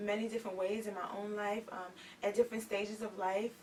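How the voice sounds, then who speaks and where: A soft-spoken woman at a fairly high pitch, talking at a very fast pace over noticeable background noise. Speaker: author and youth activist. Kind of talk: talk show interview.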